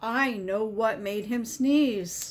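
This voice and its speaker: A woman performs a put-on character voice. Her pitch is fairly high. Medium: read story.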